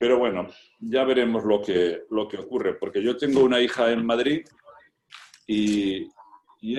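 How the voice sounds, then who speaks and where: Fairly slow pace from a man. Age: 60s. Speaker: cardiologist. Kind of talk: casual chat. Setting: video call.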